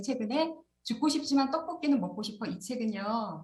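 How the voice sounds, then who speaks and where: Very wide pitch swings mark a woman's somewhat breathy speech. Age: 40s. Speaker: corporate counselor. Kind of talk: conference presentation.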